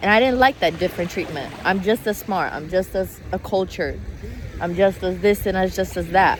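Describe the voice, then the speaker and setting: Noticeable noise fills the background as a speaker with an American accent talks at a medium tempo. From Italy. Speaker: vlogger. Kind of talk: emotional vlog monologue. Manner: halting, repetitive.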